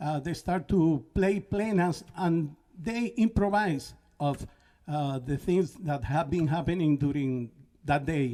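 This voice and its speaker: With a Spanish accent and a dark, mellow tone, a man speaks very slowly at a fairly high pitch with ordinary pitch variation. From Puerto Rico. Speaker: band leader and musician. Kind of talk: talk between songs at a concert. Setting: live-streamed concert at a college. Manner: halting, many fillers.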